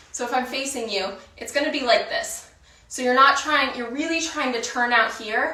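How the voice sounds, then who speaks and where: A woman with a high pitch talks at a moderate pace with ordinary pitch variation, with noticeable background noise and audible room echo. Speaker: dancer and workout instructor. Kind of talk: guided workout instruction. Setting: online video class. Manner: counts rhythmically.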